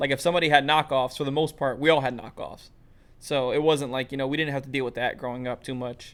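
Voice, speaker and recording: Delivered at a very fast pace, the speech comes in a New York accent with monotone, flat intonation. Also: man, fairly high pitch for a man. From US Northeast, Brooklyn, New York. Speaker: podcast host. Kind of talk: casual chat.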